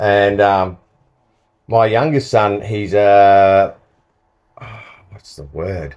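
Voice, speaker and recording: Over a quiet background, a man with an Australian accent speaks at a very slow pace and fairly low pitch, with ordinary pitch variation, big swings in loudness and long, frequent pauses. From Australia, Sunshine Coast Queensland. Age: 60s. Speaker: former pro surfer. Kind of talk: casual chat.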